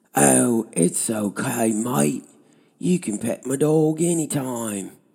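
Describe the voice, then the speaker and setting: Speaking very slowly in a put-on character voice, a man delivers an Australian accent as part of the act at a medium pitch. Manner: bad fake accent, cheesy.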